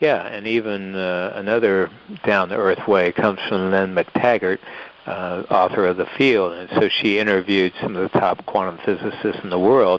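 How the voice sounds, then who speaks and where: A man speaks with a very deep, low pitch and fairly even intonation at a moderate pace. Noticeable background noise is present. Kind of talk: interview answer.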